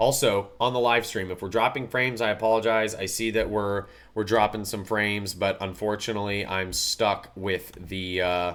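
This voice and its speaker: Over a very clean recording with a silent background, a man speaks at a fairly low pitch with fairly even intonation and hardly any pauses. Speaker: motorsport podcast host. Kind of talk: casual podcast commentary. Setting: live stream from an Airbnb. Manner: fast.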